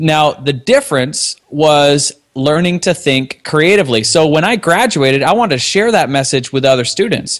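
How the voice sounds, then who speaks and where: With a Canadian accent, a man speaks in an ordinary speaking voice at a fairly high pitch, moderate in pace and lively in intonation. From Canada. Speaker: software company co-founder. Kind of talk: casual interview.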